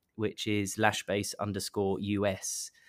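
The speaker has an English accent on a very clean recording with a silent background. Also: man. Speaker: marketing head of a beauty company. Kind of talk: interview.

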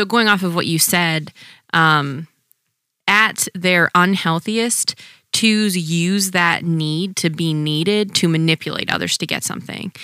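A woman with a fairly low pitch and a bright, sharp tone speaks with ordinary pitch variation in a dry, close sound with no echo. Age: 20s. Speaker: podcast co-host, physician assistant. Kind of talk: casual chat.

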